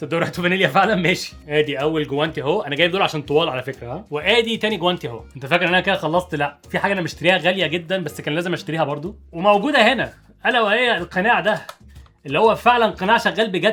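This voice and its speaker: Over music in the background, a man talks at a very fast pace with an Egyptian accent. His pitch is high and his intonation lively. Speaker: YouTuber, product reviewer. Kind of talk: product unboxing and tutorial. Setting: home office at desk. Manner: casual, conversational.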